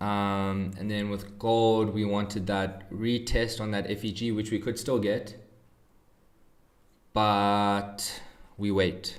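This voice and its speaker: Very slow, monotone speech with flat intonation, long and frequent pauses, and audible room echo. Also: man, fairly low pitch for a man. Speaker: trading streamer. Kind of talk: live stream commentary. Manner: mellow.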